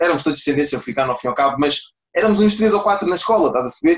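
This is a man speaking at a fairly high pitch. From Portugal, Lisbon area and Alentejo. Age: 20s. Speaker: entrepreneur, clothing brand founder. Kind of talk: podcast interview.

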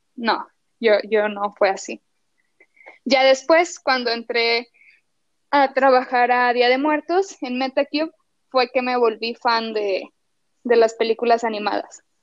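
Speech comes at a very slow pace with long, frequent pauses and ordinary pitch variation, the sound dry and close with no echo. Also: woman, high pitch for a woman. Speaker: animation artist. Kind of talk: interview.

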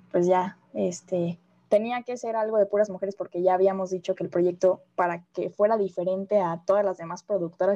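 A woman's medium-pitched voice with a dark, mellow tone, a Mexican accent, a fairly quick pace, and fairly even intonation. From Mexico. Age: 20s. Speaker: communication student. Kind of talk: casual chat.

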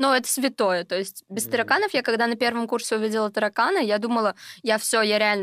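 Talking at a very fast pace, a woman uses ordinary pitch variation. The recording is very clean with a silent background and a dry, close sound with no echo. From Russia, Sverdlovsk Oblast. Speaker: geography tutor, student. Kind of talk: casual chat.

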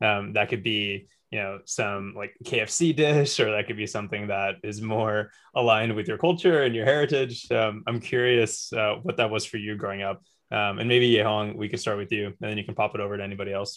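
Speaking at a fairly quick pace, a man uses a fairly low pitch with ordinary pitch variation in an unremarkable speaking voice. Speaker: podcast co-host. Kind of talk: casual panel discussion. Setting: online audio chat room.

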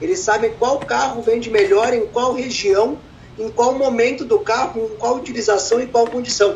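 Over noticeable background noise, a man speaks at a moderate pace. His pitch is extremely high, with ordinary variation. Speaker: entrepreneur in car services. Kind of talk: interview.

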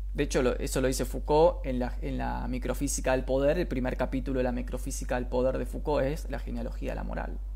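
Very fast speech with hardly any pauses over noticeable background noise. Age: 30s. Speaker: philosophy livestreamer and teacher. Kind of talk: livestream lecture. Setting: live stream. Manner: halting.

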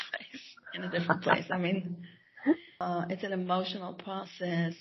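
A woman's fairly low voice with vocal fry at a moderate pace

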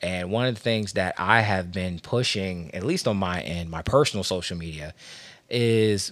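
The speaker has an American accent. The recording is very clean with a silent background. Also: man. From Washington, D.C. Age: 30s. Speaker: podcast host. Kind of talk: casual chat.

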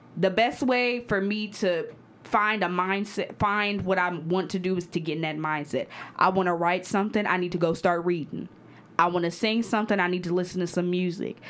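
A woman talks fairly quickly at medium pitch with fairly even intonation. Hers is a normal speaking voice. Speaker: guest, poet and college student. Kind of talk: casual chat.

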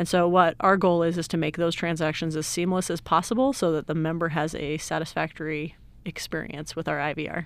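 In a normal speaking voice with an American accent, the speaker moves at a fairly quick pace with hardly any pauses and fairly even intonation, on a very clean recording with a silent background. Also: woman, fairly low pitch for a woman. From Utah, Salt Lake City. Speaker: IT director. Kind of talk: interview.

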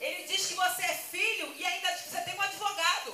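A woman's raised, projected voice rings out at an extremely high pitch with a bright, sharp tone and audible room echo. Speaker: pastor. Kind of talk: sermon.

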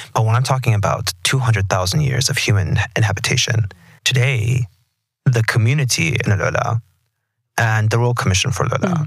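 A man with an American accent has an unremarkable speaking voice at medium pitch. He keeps a moderate pace, ordinary pitch variation and very even loudness. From Texas. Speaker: podcast host. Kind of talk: interview. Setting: studio.

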